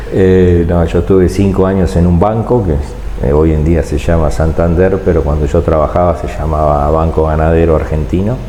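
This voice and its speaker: Over noticeable background noise and audible room echo, a man talks at a moderate pace in a very deep, low pitch with ordinary pitch variation, very even loudness and hardly any pauses. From Argentina, Tandil (Buenos Aires province). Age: 60s. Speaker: business chamber president. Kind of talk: casual interview.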